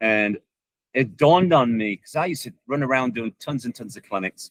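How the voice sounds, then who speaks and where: A man's normal speaking voice at medium pitch, with lively intonation at a moderate pace and a dry, close sound with no echo. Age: 60s. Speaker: soccer coach and online video creator. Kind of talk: interview.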